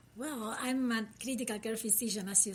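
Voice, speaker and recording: Here a woman speaks in a Uruguayan accent. Her pitch is fairly high. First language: Spanish. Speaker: critical care physician. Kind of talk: interview podcast.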